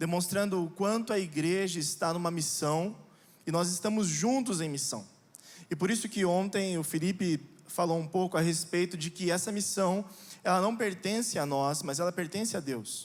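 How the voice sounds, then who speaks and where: A man's high-pitched voice at a moderate pace. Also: ordinary pitch variation. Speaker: pastor. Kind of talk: sermon. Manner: hesitant fillers.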